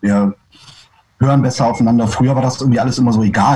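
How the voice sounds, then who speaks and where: Very fast speech from a man at medium pitch, with fairly even intonation. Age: 30s. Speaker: punk rock singer and bassist. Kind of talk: casual interview. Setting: video call. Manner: halting.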